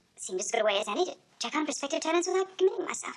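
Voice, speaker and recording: Putting on a character voice, a woman squeaks at an extremely high pitch. She goes very fast, and her pitch swings very widely. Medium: short film. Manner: cool, wry.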